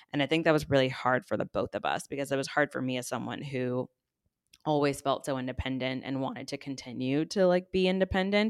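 A woman with an American accent at a very fast pace, very deep and low in pitch with ordinary pitch variation, in a dry, close sound with no echo and a very clean recording over a silent background. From Texas, San Antonio. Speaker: influencer and podcast host. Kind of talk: casual chat.

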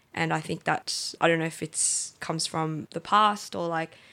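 In an Australian accent, the speaker has a bright, sharp tone, a moderate pace and ordinary pitch variation, on a very clean recording with a silent background. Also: woman. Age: 20s. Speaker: sneaker marketplace co-founder. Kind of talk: casual interview.

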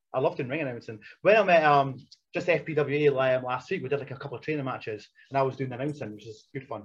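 A man talks at a very fast pace with ordinary pitch variation. His voice is somewhat breathy, and his loudness swings widely. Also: fairly high pitch for a man. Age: 40s. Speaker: retired wrestler. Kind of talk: casual chat. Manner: fast talker.

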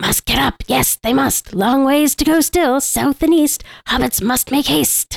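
Doing a put-on character voice, a woman speaks high in pitch at a fairly slow pace, with hardly any pauses, very even loudness and a dry, close sound with no echo. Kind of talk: fan impression of film character. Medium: game stream. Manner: urgent, whiny, hissing.

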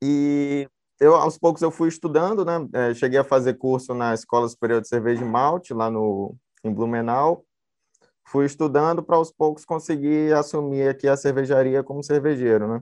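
A man speaks in a plain, everyday voice, fairly high-pitched, at a moderate pace with ordinary pitch variation against a quiet background. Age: 20s. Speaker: brewer. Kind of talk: casual panel interview.

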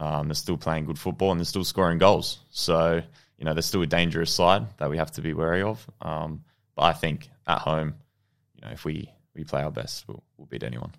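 A man's very deep, low voice with vocal fry and an Australian accent, fairly quick with ordinary pitch variation, in a very clean recording with a silent background. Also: big swings in loudness. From Australia, childhood partly in New Zealand. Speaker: professional football goalkeeper. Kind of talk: interview.

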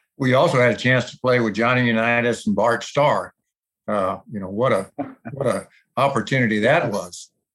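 He has a normal speaking voice at a medium pitch. The man keeps a moderate pace. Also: ordinary pitch variation. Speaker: podcast host. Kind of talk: interview.

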